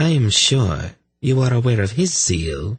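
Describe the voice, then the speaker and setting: A man speaks in a put-on character voice that is guttural, at medium pitch and a moderate pace. His pitch swings very widely. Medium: read story. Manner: smug, mocking.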